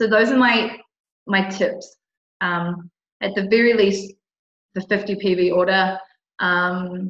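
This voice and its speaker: A woman with an Australian accent speaks at a fairly slow pace in a medium pitch, her intonation monotone and flat, broken by long, frequent pauses. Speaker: essential oil distributor. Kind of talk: tutorial.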